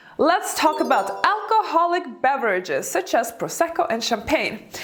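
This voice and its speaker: A woman with a non-native accent at a moderate pace, very wide pitch swings, and noticeable background noise. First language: not English. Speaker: elegance coach and YouTuber. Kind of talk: video tutorial.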